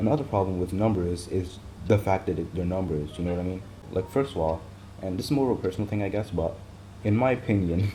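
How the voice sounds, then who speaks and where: A man mumbles at a very fast pace in a very deep, low pitch. His tone is dark and mellow, and his voice somewhat breathy. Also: ordinary pitch variation. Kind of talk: casual talk to camera. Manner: rambling, hesitant, many fillers.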